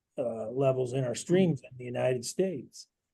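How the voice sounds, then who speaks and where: This man's tone is dark and mellow, with an American accent. His pace is moderate and his pitch varies in an ordinary way. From Iowa. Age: 60s. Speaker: water quality advocate. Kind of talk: panel discussion.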